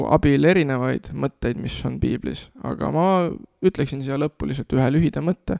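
Recorded very cleanly against a silent background, the sound is dry and close with no echo. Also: man. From Estonia, Nõo (Tartu County). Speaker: youth worker and church community leader. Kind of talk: interview testimony.

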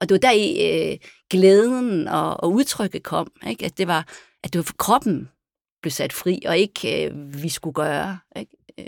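A woman with fairly low pitch and vocal fry speaks at a fairly slow pace, with very wide pitch swings and big swings in loudness. The recording is very clean with a silent background, dry and close with no echo. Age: 50s. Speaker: dancer and performer. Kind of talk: casual chat. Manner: halting.

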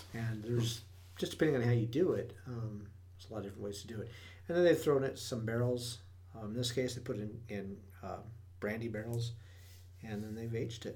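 Talking at a very fast pace with an American accent, the voice has a dark, mellow tone, is somewhat breathy and shows ordinary pitch variation. Long, frequent pauses and big swings in loudness stand out, and room echo is audible. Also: man, medium pitch for a man. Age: 40s. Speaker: podcast co-host. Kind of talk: casual chat.

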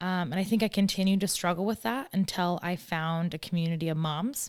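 A woman with a normal speaking voice, fairly low pitch, ordinary pitch variation and moderate pace, on a very clean recording with a silent background. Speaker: podcast host and founder. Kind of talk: casual interview chat. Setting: studio.

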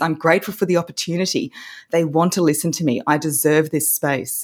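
With an Australian accent, a woman speaks at a moderate pace in a fairly low pitch, recorded very cleanly against a silent background. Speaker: voice coach. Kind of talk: casual interview chat.

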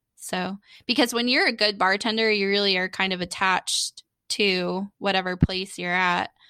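A bright, sharp tone in an American accent, with fairly even intonation, a moderate pace and a very clean recording over a silent background. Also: woman, medium pitch for a woman, dry, close sound with no echo. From Florida, Daytona area (Holly Hill). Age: 30s. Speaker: comedian and podcaster. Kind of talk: casual chat. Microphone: new USB microphone, crisp and clear.

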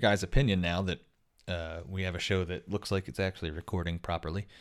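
In a very clean recording with a silent background, a man with a very deep, low voice talks at a fairly quick pace. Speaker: podcast host. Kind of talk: casual chat.

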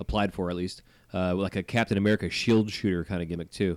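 A man's voice sits fairly low in pitch. He talks at a very fast pace. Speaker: podcast host. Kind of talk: casual chat. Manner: casual, filler words.

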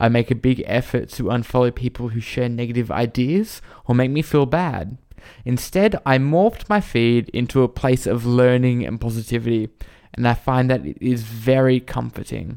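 A man with an Australian accent talks at medium pitch and a moderate pace, with ordinary pitch variation. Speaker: retail store manager. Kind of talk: casual chat.

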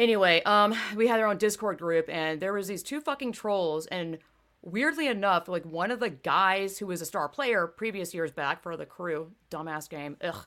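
A woman talks in an ordinary speaking voice at a medium pitch and a moderate pace. Her intonation is lively, and the recording is very clean with a silent background. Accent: American. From US South. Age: 30s. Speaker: podcast host. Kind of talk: casual chat.

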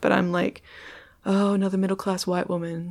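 The pace here is moderate. It's a woman talking with an American accent. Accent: Australian, perceived as slightly American. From Perth, Australia. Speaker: comedian and poet. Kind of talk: casual interview chat.

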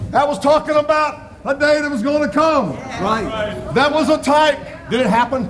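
Noticeable background noise surrounds a man speaking at a moderate pace. His pitch is extremely high, with ordinary variation. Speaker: preacher. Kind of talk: sermon. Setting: church. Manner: fervent, rolling preacher's cadence, building to exclamations; emotional, personal, testimony-like warmth.

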